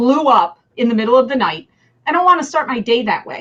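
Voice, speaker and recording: A woman with a New Jersey accent speaks at a high pitch. Her tone is animated and her intonation lively. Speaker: business leader. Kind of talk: interview.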